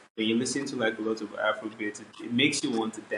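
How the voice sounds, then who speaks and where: This man speaks with a Nigerian accent. His intonation is fairly even. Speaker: R&B and Afrobeats singer. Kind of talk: interview. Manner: casual, filler-heavy.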